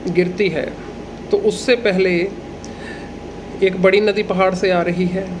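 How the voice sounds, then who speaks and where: A man with a Punjabi accent speaks at a high pitch in a flat monotone. Noticeable background noise runs underneath. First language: Punjabi (speaking Hindi). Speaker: agricultural educator, livestock and horse expert. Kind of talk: tutorial.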